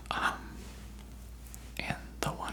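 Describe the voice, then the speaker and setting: Someone whispers, and noticeable background noise can be heard. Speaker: ASMR creator. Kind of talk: ASMR whisper ramble. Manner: whispered.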